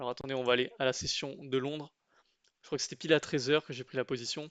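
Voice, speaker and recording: A fairly quick voice with a dry, close sound, no echo and a quiet background. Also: man. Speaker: trading YouTuber. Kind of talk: trading tutorial, chart walkthrough. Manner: casual with many filler hesitations.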